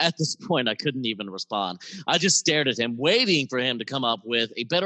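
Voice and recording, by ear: The passage is read aloud in a natural voice.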